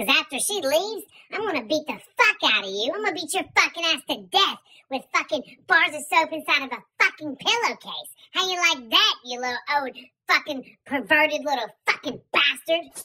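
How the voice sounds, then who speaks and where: A woman's voice sits at a high pitch and moves through very wide pitch swings. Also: moderate pace. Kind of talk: comic overacting. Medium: comedy sketch. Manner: shrill, scolding, vicious.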